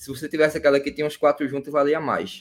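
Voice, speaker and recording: The pace is very fast. A man is talking with a fairly high pitch. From Pernambuco, Brazil. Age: 20s. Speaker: political activist and student. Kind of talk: casual interview. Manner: hesitant, repeats words.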